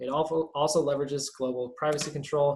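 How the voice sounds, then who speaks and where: The man's voice is somewhat breathy. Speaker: privacy activist workshop presenter. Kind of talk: online workshop presentation. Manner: fast; halting, many fillers.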